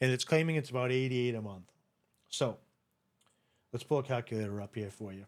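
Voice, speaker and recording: Talking very fast but with long, frequent pauses, a man with a New England accent speaks at medium pitch with ordinary pitch variation and big swings in loudness. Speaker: online seller and video creator. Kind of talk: screen-share tutorial. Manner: casual, repetitive with verbal restarts.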